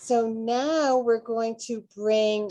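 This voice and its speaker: In a quiet setting, a woman with a Boston accent speaks at a fairly high pitch. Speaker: author hosting a book launch party. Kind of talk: casual live-streamed interview. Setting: video call.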